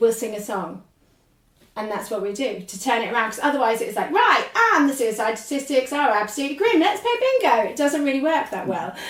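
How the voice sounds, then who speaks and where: A woman speaks in a high voice with a southern English accent and lively intonation, and some room echo can be heard. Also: fairly quick pace. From England, London then Norwich. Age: 40s. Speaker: podcaster and ADHD activist. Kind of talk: casual interview chat. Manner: animated.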